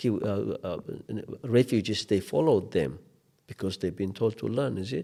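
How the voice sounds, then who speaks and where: With an Ethiopian accent, a man speaks at a moderate pace and medium pitch, his pitch varying in an ordinary way. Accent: Ethiopian accent, kept. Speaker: refugee support organization manager. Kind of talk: interview conversation. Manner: animated.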